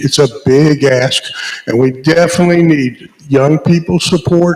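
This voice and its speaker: Noticeable background noise sits behind a man's voice. He has a fairly high pitch, fairly even intonation and a moderate pace. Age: 70s. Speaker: local party chairman. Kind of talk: town hall speech.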